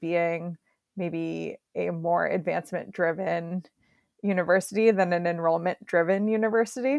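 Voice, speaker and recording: In a very clean recording with a silent background, a woman speaks with a plain, everyday voice. Her medium pitch shows ordinary variation, and the sound is dry and close with no echo. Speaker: marketing director. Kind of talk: casual interview chat.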